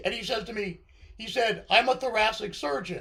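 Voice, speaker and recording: A man speaking at a moderate pace. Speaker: podcast host. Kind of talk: casual chat. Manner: halting, with repeated false starts; animated.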